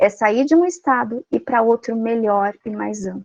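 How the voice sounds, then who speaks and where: An ordinary speaking voice with ordinary pitch variation and a dry, close sound with no echo. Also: woman. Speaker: Jungian psychology speaker. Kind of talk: lecture.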